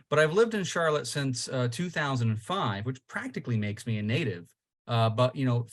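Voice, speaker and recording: A man in a New York accent, medium in pitch and somewhat breathy, talks with lively intonation over a quiet background. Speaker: local party chairman, panelist. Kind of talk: podcast panel discussion.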